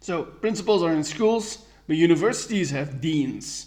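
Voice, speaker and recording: A man with an American accent at a fairly high pitch, moderate pace and ordinary pitch variation, with audible room echo. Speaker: podcast host. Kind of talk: solo podcast review. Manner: halting.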